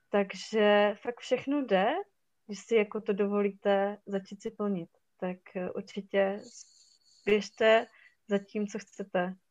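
With a Silesian accent, a woman speaks at a medium pitch and a very slow pace, in monotone, flat intonation with long, frequent pauses. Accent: Silesian Czech, short vowels. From Czech Silesia, Hradec nad Moravicí. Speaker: photographer. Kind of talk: casual interview.

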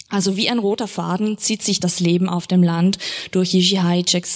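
The intonation is monotone and flat. The speaker is a woman with a medium pitch. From Austria. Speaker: literary translator and interpreter, moderating a reading. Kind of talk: moderated author reading with consecutive interpreting. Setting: event venue with live audience.

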